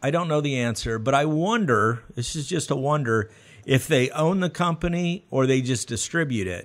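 A man with an American accent uses a plain, everyday voice, fairly high in pitch, with lively intonation. He speaks at a moderate pace against a quiet background. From US South. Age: 40s. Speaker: podcast host. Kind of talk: interview. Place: studio. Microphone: studio mic.

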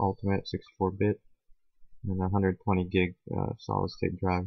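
The speaker is mumbling in a monotone, flat intonation. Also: man. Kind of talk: tech tutorial screen recording. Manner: mumbling, low volume; hesitant, many fillers.

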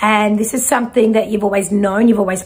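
Somewhat breathy, the voice moves at a fairly quick pace with ordinary pitch variation. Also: woman. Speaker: intuitive reader. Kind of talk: spiritual reading to viewer. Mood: warm, animated. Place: home room.

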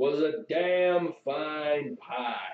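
A man puts on a character voice. It sits fairly high in pitch.

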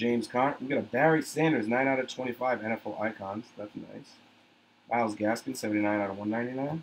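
A man speaks in a medium pitch at a moderate pace with ordinary pitch variation. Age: 30s. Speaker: sports card breaker. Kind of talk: live card break stream. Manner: animated.

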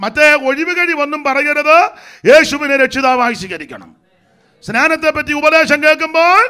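A man's extremely high-pitched voice is raised and projected, with a bright, sharp, animated tone and ordinary pitch variation over a quiet background. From Kerala, India. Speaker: pastor. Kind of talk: sermon. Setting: church convention with audience. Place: church. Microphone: handheld.

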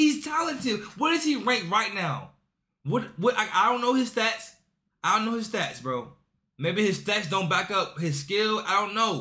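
At a moderate pace over a quiet background, a raised, projected voice moves through very wide pitch swings. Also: man, high pitch for a man. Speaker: reaction YouTuber. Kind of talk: casual sports reaction video. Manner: animated, excitable; slangy, casual. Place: home room.

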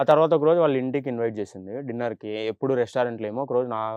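Heard here is a plain, everyday voice. The pitch rises and falls in an ordinary way. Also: man. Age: 20s. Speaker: boyfriend in relationship counselling show. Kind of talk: testimony.

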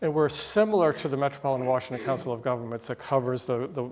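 The man's pitch shifts in an ordinary way as he talks. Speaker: guest lecturer. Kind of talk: lecture. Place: classroom. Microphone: podium.

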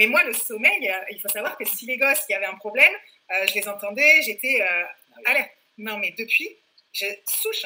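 A woman at a fairly quick pace, fairly high in pitch, with lively intonation. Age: 40s. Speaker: fitness program client, mother. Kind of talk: interview. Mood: lively, enthusiastic. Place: home room. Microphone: webcam.

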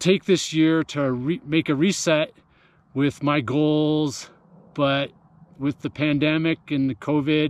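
A man's voice with a dry, echo-free sound. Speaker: running coach. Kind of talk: casual vlog chat. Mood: reflective, calm. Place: open country. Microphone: phone near.

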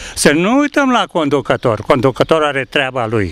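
At a fairly slow pace, a man with a fairly high pitch makes very wide pitch swings in a dry sound with no echo. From Romania, Bucharest. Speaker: interviewee. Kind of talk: street interview. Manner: animated. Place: garden.

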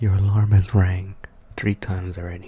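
At a moderate pace, a man speaks with a very deep, low pitch, a dark, mellow, somewhat breathy tone and monotone, flat intonation. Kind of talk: ASMR roleplay, boyfriend waking you up. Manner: soft-spoken, whispering.

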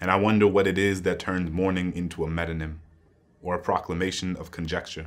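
Very deep and low in pitch, a man speaks quietly in a flat monotone. He talks at a very fast pace with an American accent. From US. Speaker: poet. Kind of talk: spoken-word poetry reading, solemn and rhythmic. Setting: stage with audience. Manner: measured, building cadence of anaphoric 'And I' lines; grave, quietly impassioned, lingering on moral weight. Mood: solemn, reflective. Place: studio.

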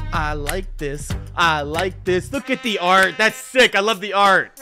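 At a very slow pace, a man speaks in a raised, projected voice over clear music in the background. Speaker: reaction streamer. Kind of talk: casual reaction commentary. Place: home room.

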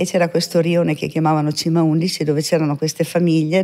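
A woman talks very fast in a very deep, low voice with a dark, mellow tone and monotone, flat intonation, over a quiet background. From northern Italy, Veneto (Mestre); Veneto, Italy. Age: 60s. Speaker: medium; podcast guest. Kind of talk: interview testimony. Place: studio. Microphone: studio mic.

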